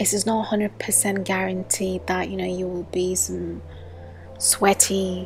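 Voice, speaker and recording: A soft-spoken woman whispers at a fairly slow pace while music plays in the background. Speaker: gaming youtuber. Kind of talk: tutorial. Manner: whispery.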